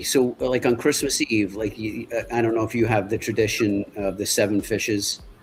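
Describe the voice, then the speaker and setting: Speaking with a New York accent, a man keeps a moderate pace with hardly any pauses. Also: medium pitch for a man, ordinary pitch variation. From Long Island, New York. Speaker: guest. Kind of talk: casual chat.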